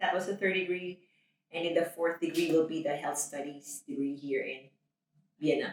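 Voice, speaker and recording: At a moderate pace, a woman with a Filipino accent speaks at a fairly low pitch. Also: ordinary pitch variation. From Philippines. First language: Tagalog. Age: 30s. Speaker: nurse. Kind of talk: interview.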